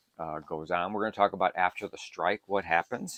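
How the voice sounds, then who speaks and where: A man speaks in a normal speaking voice, pitched fairly low with ordinary pitch variation. The sound is dry and close, with no echo. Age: 60s. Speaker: survival prepping YouTuber. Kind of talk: casual tutorial monologue. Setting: home bunker. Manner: conversational with frequent fillers.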